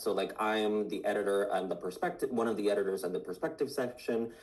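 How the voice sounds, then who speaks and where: Speaking in a Puerto Rican accent, a man with a fairly low pitch and ordinary pitch variation races along at a very fast pace with hardly any pauses, over noticeable background noise. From Puerto Rico. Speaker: science magazine editor. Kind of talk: interview. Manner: halting, many fillers.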